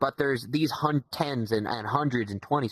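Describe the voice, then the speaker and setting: A man in a Southern US accent, animated in tone, with a dry, close sound and no echo. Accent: southern drawl. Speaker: podcast guest, VR community member. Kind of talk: casual podcast chat. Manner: animated, repetitive stammering.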